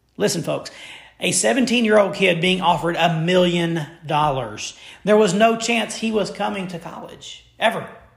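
A man with an American accent talks at a moderate pace in a high voice with lively intonation, with audible room echo and noticeable background noise. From Memphis, Tennessee (US South). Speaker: sports podcast host. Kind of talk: solo sports commentary podcast. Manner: animated.

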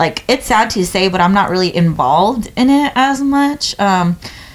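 With a plain, everyday voice, a woman speaks at a moderate pace with lively intonation. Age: 20s. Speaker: podcast co-host. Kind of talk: casual chat.

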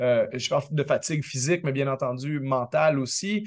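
A fairly slow pace and ordinary pitch variation in a normal speaking voice. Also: man. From Quebec. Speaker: basketball analyst. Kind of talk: radio sports analysis.

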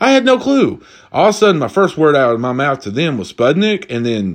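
In an Appalachian accent, a man speaks at a moderate pace with a fairly high pitch. His tone is animated, with very wide pitch swings. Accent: Appalachian Southern US. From Eastern Kentucky. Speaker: podcast host. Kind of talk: casual solo chat. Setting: drinking while recording.

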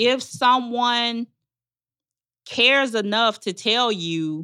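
Speaking with a Southern US accent, a woman uses a bright, sharp tone. She goes at a very slow pace with ordinary pitch variation. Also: very clean recording, silent background. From Arkansas, Magnolia. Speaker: relationship coach and nonprofit founder. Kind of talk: casual interview chat.

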